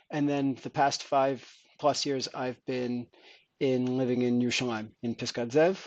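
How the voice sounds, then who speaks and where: Medium-pitched man with an American accent at a fairly slow pace, against a quiet background. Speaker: company founder, engineer. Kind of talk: podcast interview.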